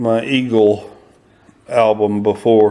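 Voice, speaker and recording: A man with a fairly low pitch speaks at a very slow pace, his pitch varying in an ordinary way. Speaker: silver stacker. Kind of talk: casual talk to camera. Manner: hesitant, many fillers.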